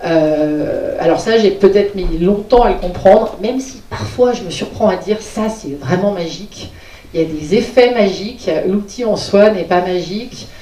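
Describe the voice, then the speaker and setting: Fairly slow speech with ordinary pitch variation, over noticeable background noise. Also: woman. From Lyon, France. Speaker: digital inclusion trainer and project consultant. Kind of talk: conference talk. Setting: conference hall with audience.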